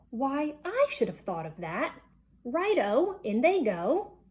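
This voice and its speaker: A put-on character voice moves in a sing-song way through very wide pitch swings at a fairly slow pace. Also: woman, high pitch for a woman. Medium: read story. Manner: gleeful, sing-song.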